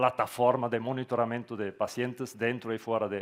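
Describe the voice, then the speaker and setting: A man with a Portuguese accent talks at a moderate pace and medium pitch. The background is quiet. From Switzerland. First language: not Spanish; Portuguese-influenced (speaking Spanish). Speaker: tech company founder. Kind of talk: conference talk. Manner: halting with fillers.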